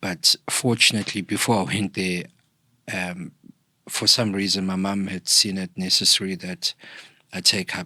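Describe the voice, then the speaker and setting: A bright, sharp voice in a South African accent at a fairly slow pace, on a very clean recording with a silent background. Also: man. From KwaZulu-Natal, South Africa. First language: isiZulu. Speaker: podcast guest, thought leader. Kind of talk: interview, personal storytelling.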